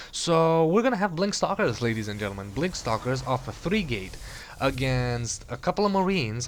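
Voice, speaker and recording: A man with an Eastern European accent, fairly quick pace and lively intonation, over noticeable background noise. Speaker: game commentator. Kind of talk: live commentary.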